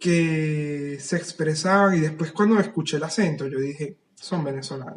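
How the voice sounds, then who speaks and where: A man with an ordinary speaking voice talks at a fairly slow pace and fairly high pitch, with hardly any pauses. His pitch varies in an ordinary way. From Venezuela. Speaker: writer. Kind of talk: casual chat.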